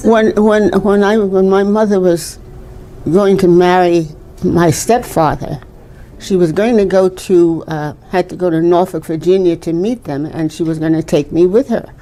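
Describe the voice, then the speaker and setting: Over noticeable background noise, a woman talks at a moderate pace with a medium-pitched voice. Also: ordinary pitch variation. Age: 80s+. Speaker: storyteller recalling segregation era. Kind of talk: interview answer.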